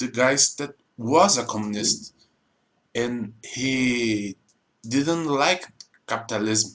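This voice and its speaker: This man has a Portuguese accent. His pitch sits in the medium range. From Brazil. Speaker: YouTuber explaining politics. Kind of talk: informal explainer monologue. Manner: halting, non-fluent English.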